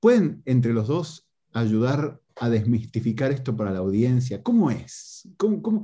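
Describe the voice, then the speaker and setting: A man's somewhat breathy, dark, mellow voice with lively intonation at a fairly slow pace. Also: medium pitch for a man. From Argentina, Tigre (Buenos Aires area). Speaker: podcast host. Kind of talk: casual interview. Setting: video call.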